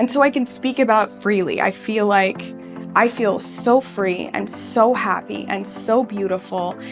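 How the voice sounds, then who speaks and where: Over music in the background, a woman talks at a fairly high pitch and fairly slow pace with ordinary pitch variation. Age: 30s. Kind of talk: patient testimonial interview.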